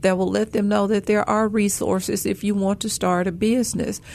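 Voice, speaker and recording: A woman speaks with a Memphis accent. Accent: Southern US, Memphis. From Memphis, Tennessee. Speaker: banker. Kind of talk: radio talk show interview.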